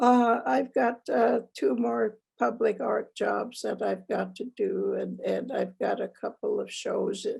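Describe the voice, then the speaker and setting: An American accent marks this woman's very slow speech. She hardly pauses at all. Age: 70s. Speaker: Native artist. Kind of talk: panel interview. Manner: halting.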